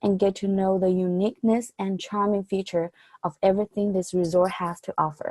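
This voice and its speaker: A woman with a Chinese accent at a moderate pace. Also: dry, close sound with no echo. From mainland China. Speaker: college student. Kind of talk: presentation. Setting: video call.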